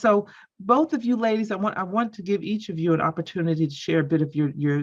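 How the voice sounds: Her pitch varies in an ordinary way as the woman speaks.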